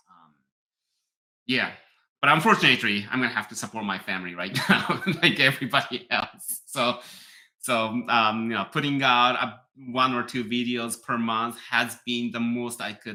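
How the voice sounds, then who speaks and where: Speaking at a moderate pace with a Japanese accent, a man has a medium pitch, a bright, sharp tone and ordinary pitch variation. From Japan, near Tokyo. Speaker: piano teacher and YouTuber. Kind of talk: live stream chat reading viewer comments. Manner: halting, many fillers.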